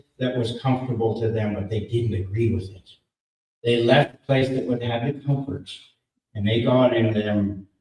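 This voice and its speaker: A man talks in a somewhat breathy voice. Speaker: political rally speaker. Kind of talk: speech.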